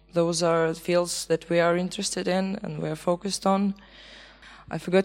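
Her pitch medium, a woman speaks with monotone, flat intonation. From Belarus. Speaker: sound art student and event organizer. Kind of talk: presentation. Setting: stage with audience.

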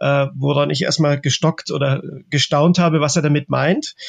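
In a dry, close sound with no echo, a man with a fairly high pitch speaks in a somewhat breathy, monotone voice with flat intonation. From Germany (Czech-born, raised in Germany since the 80s). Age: 40s. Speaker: artist. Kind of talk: interview. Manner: halting, many filler sounds.

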